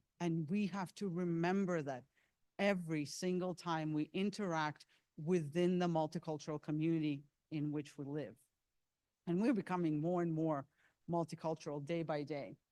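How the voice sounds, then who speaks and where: Speaking with a non-native accent, a woman has a fairly low pitch and a dark, mellow tone. Her pace is moderate and her intonation fairly even. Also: very clean recording, silent background. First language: not English. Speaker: seminar presenter. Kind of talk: lecture.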